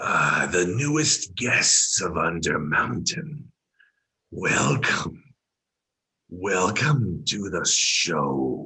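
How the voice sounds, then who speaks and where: A man does a raspy put-on character voice at a very deep, low pitch. He speaks at a very slow pace with very wide pitch swings. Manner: welcoming, showman-like.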